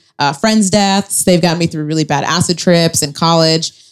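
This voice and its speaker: A normal speaking voice from a woman, pitched fairly low, moderate in pace. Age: 20s. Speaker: comedian. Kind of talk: stand-up style live podcast chat. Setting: stage with audience.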